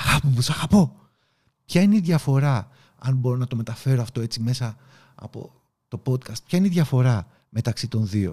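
Pausing long and often, a man speaks with lively intonation in a somewhat breathy, medium-pitched voice that is dark and mellow in tone. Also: moderate pace. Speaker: podcast host and leadership coach. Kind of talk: motivational talk. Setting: video recording. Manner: animated.

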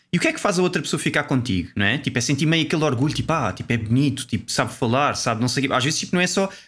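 Over a silent background in a very clean recording, a man with a European Portuguese accent talks very fast with hardly any pauses at a fairly high pitch. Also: lively intonation. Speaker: podcast co-host. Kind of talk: casual chat.

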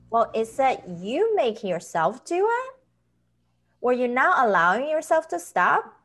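Her pitch is high and swings very widely. This woman speaks at a fairly slow pace. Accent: Chinese. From China. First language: Chinese. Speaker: author and health professional. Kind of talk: interview.

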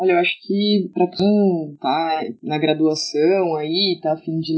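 Monotone, flat intonation marks this fairly slow delivery. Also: woman. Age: 20s. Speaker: handball coach. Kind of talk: casual podcast interview.

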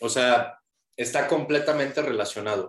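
Medium pitch and ordinary pitch variation in a male voice. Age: 30s. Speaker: nutrition and cognitive fitness coach. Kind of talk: interview.

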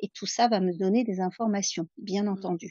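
A woman speaks at a medium pitch. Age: 50s. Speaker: astrologer. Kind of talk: interview. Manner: slow.

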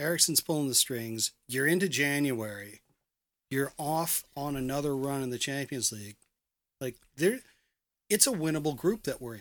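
A man with an ordinary speaking voice, fairly high pitch, ordinary pitch variation and moderate pace, on a very clean recording with a silent background. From Canada. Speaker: soccer supporters club organizer. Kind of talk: casual chat.

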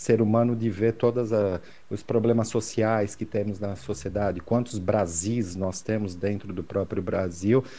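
The man's medium-pitched voice has a dark, mellow tone and ordinary pitch variation. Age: 50s. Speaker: sports photographer. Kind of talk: casual interview chat. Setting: video call.

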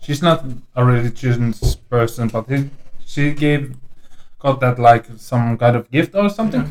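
A man speaks in an ordinary speaking voice, medium in pitch, with ordinary pitch variation. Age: 30s. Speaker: guest. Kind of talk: casual chat.

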